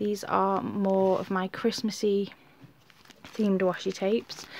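A woman talks at a medium pitch. She speaks with a British accent. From UK. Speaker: YouTuber. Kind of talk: show-and-tell tutorial. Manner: casual, chatty with fillers.

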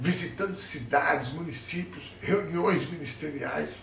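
A man speaks at a fairly slow pace with ordinary pitch variation, over light background noise and audible room echo. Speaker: political commentator. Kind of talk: casual opinion vlog. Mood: indignant, sarcastic. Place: kitchen. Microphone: phone near.

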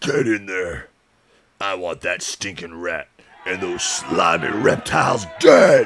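A man performs a put-on character voice. It sits fairly low in pitch and moves at a fairly slow pace. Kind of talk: tough-guy gangster talk. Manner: snarling, menacing, contemptuous.

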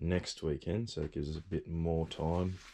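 A dark, mellow tone at a fairly slow pace. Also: man. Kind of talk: casual vlog chat. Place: bus. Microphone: phone near.

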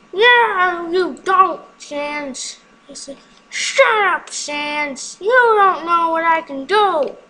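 A put-on character voice at an extremely high pitch moves along at a very slow pace. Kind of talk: comic overacting. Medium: game stream. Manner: loud, boastful, excitable.

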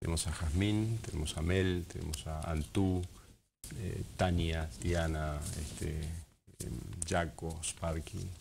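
With light background noise, a man speaks at a very slow pace in a very deep, low pitch, somewhat breathy and with fairly even intonation. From Argentina, Patagonia (Esquel, Andes); Patagonia, Argentina. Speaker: wildlife ranger; interviewee. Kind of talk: TV interview. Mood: calm, reflective. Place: studio. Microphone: lapel.

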